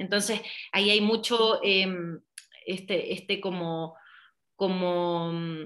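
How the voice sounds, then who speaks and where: Bright, sharp tones from a woman at a medium pitch, with fairly even intonation and a quiet background. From Chile. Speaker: hypnotherapist. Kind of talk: interview.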